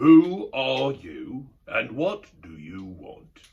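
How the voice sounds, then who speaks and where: Putting on a gruff character voice, a man speaks at a very slow pace with fairly high pitch. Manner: demanding, suspicious.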